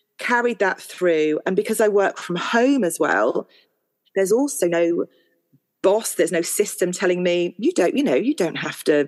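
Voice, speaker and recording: A woman speaks fairly slowly in a normal speaking voice with lively intonation. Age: 40s. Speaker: artist and mother of four. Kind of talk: personal testimony in interview.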